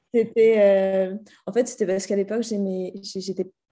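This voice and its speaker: A woman speaks at a medium pitch in a flat monotone. Her tone is dark and mellow against a quiet background. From France (Paris region, central France). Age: 30s. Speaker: entrepreneur. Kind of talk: podcast interview. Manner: hesitant, many fillers.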